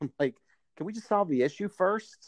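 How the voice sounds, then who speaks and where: Recorded with a dry, close sound with no echo, a man speaks over a quiet background. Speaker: podcast host. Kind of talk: casual chat. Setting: phone call.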